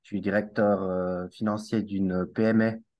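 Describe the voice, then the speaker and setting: Against a quiet background, a man with a Swiss accent speaks at a fairly low pitch in a monotone, flat intonation. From Switzerland (Valais, Alps). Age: 40s. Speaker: network marketer and finance director. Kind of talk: casual interview.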